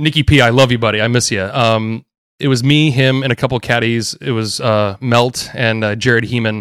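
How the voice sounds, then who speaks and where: A man talks at a medium pitch in a very clean recording with a silent background. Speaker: golf caddie. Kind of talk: casual chat. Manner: energetic.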